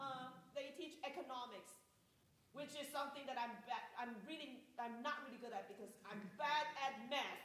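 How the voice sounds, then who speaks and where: A woman with a high-pitched voice speaks at a moderate pace with ordinary pitch variation, and there is audible room echo. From Taiwan. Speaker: music professor. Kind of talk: panel talk. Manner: halting.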